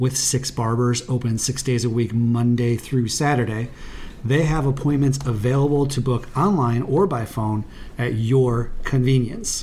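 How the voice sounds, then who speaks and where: A man speaks in a plain, everyday voice at a moderate pace. His pitch is medium, with ordinary pitch variation. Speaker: sports podcast co-host. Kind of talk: casual chat. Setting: in person, same room.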